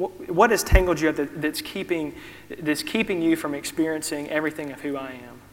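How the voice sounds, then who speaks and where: At a fairly quick pace, a man speaks in a Southern US accent and a fairly high pitch. His pitch varies in an ordinary way, with noticeable background noise. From US South. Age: 30s. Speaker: preacher. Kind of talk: sermon. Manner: halting.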